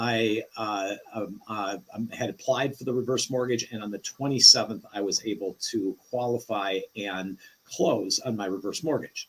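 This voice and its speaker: A man with a normal speaking voice talks at a fairly slow pace with hardly any pauses, at a medium pitch with ordinary pitch variation. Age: 60s. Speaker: reverse mortgage lender. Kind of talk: live show interview. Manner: explanatory.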